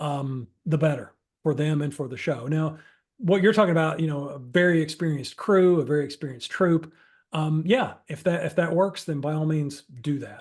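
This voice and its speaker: A man with an ordinary speaking voice, fairly high pitch, ordinary pitch variation and moderate pace, against a quiet background. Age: 50s. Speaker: improv workshop instructor. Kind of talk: workshop Q&A. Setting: video call. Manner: conversational, with fillers and self-repetition.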